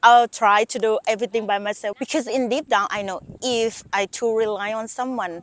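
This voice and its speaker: Speaking at a moderate pace with hardly any pauses, a woman with a Thai accent uses fairly even intonation at a fairly high pitch, with a dry, close sound and no echo. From Thailand. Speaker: YouTuber. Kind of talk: casual vlog monologue.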